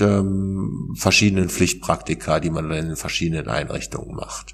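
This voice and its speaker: A man's fairly low-pitched voice. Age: 40s. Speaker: author and peer recovery worker. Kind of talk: interview about personal experience. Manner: hesitant, many fillers.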